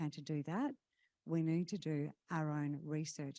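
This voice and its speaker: A woman with an Australian accent speaks at a moderate pace in a dark, mellow tone. The recording is very clean with a silent background and a dry, close sound with no echo. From Western Australia, Kalgoorlie. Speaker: conference emcee. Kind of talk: event hosting announcements. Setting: stage with audience at conference.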